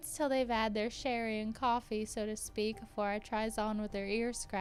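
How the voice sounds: Reading done in a natural voice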